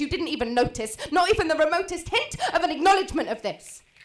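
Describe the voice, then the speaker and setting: A woman talking at a very fast pace, with noticeable background noise. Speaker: spoken word poet. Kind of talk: slam poetry performance.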